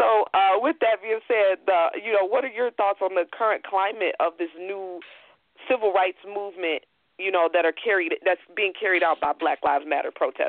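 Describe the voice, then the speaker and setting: In an American accent, a woman talks at a moderate pace with a medium pitch and ordinary pitch variation, an unremarkable speaking voice. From Chicago. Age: 20s. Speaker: podcast host. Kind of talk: interview. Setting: phone call.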